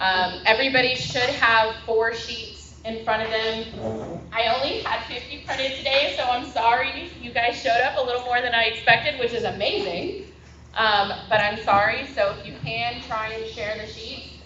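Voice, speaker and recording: A woman with an American accent talks at a moderate pace with hardly any pauses, her fairly high pitch showing ordinary variation and her loudness swinging widely, amid audible room echo and noticeable background noise. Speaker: election activist and presenter. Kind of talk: workshop presentation to audience.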